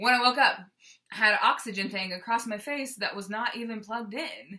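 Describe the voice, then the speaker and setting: Her voice is fairly high, with a bright, sharp tone and an animated delivery. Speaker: vlogger sharing weight loss surgery experience. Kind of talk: casual chat. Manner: loud.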